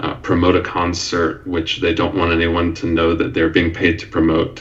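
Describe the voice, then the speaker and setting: Noticeable background noise runs under the recording. Over it, a man speaks with a very deep, low pitch. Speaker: university English professor. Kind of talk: podcast interview answer. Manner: hesitant, many filler words.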